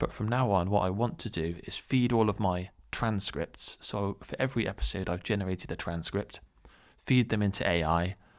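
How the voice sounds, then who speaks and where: On a very clean recording with a silent background, a man speaks at a moderate pace with a fairly low pitch and ordinary pitch variation. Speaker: small YouTuber. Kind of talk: unscripted solo monologue. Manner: speeds up as he goes; hesitant, many fillers and repeats.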